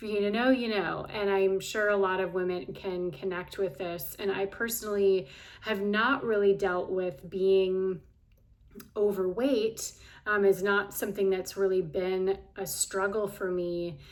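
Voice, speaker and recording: A woman with an unremarkable speaking voice talks at a fairly slow pace, her medium pitch held in fairly even intonation. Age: 40s. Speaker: health and life coach. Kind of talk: casual vlog monologue. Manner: conversational with frequent fillers.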